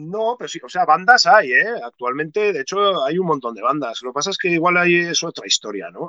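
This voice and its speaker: A man's fairly high, bright, sharp voice with lively intonation at a moderate pace, in dry, close sound with no echo. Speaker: musician and skater. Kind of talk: casual interview chat.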